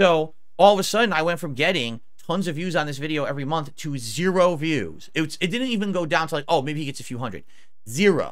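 Against a quiet background, a man with a normal speaking voice talks in a fairly high pitch with lively intonation. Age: 40s. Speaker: gaming youtuber. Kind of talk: video reaction commentary. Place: home room. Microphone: headset.

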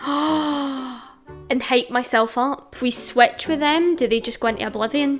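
Fairly slow speech in a Scottish accent, ordinary pitch variation, faint music in the background. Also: woman, high pitch for a woman. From Scotland. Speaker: gaming youtuber. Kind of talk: casual conversation, drinking game. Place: home room. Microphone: studio mic.

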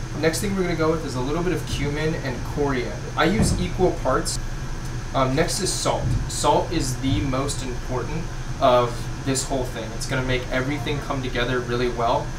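Over noticeable background noise, a man speaks at a fairly quick pace with ordinary pitch variation. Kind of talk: tutorial. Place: kitchen.

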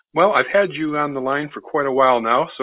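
Pitch rises and falls in an ordinary way here. Overall, it is an unremarkable speaking voice. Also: man. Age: 50s. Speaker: podcast host and microbiologist. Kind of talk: interview.

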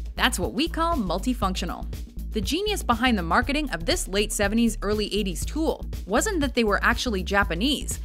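Music playing behind a woman talking at a moderate speed. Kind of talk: countdown list narration. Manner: wry, humorous.

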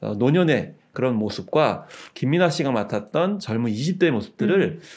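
The speech moves at a very slow pace. Its intonation is lively, and the background is quiet. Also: man. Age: 50s. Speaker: culture critic. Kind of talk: panel discussion. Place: studio. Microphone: studio mic.

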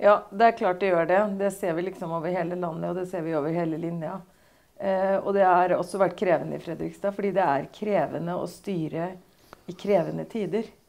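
A woman's fairly low voice with vocal fry, fairly even intonation and a fairly quick pace. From Norway, Østfold (Torsnes); Norway. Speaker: mayor. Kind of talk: political interview. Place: office.

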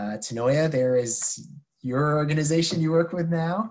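Against a quiet background, a man with an American accent talks at a fairly slow pace with ordinary pitch variation. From New York City. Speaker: university program director; presenter. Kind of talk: informational webinar. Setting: video call. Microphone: webcam.

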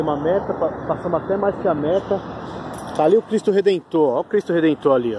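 Here a man talks very fast with ordinary pitch variation. The sound is dry with no echo, and background noise is noticeable. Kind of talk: casual vlog chat.

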